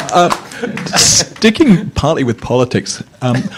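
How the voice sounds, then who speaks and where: A man's lively intonation over music in the background. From Scotland. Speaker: academic, audience questioner. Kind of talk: conference Q&A question.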